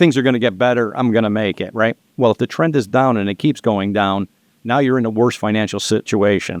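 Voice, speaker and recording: Speaking fairly quickly, a man keeps a medium pitch that varies in an ordinary way. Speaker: loan and business finance advisor. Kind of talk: casual podcast interview. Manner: fast.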